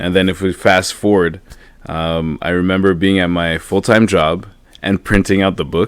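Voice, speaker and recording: Very deep and low in pitch, a man with a Quebec accent speaks at a fairly slow pace with fairly even intonation. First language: French. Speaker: motivational speaker and author. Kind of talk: podcast interview. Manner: halting, many repeats and fillers.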